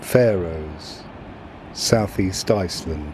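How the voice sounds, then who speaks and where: A man talks at a very slow pace in a very deep, low pitch with ordinary pitch variation. Noticeable background noise sits behind him. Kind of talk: shipping forecast area list reading, almost ASMR. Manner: soft-spoken, calm.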